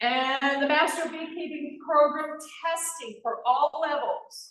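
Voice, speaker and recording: With audible room echo around her, a woman speaks very slowly at a high pitch. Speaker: beekeeping association regional director. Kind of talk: club meeting announcement. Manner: animated.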